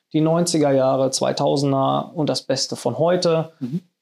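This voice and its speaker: Recorded very cleanly over a silent background, a man talks at a fairly high pitch. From Sauerland, western Germany. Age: 30s. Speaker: event company manager. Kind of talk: casual interview. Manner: hesitant with fillers.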